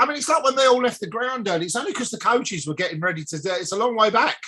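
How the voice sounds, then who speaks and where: Over noticeable background noise, a man talks very fast in a raised, projected voice with lively intonation. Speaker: football podcast host. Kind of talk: casual chat.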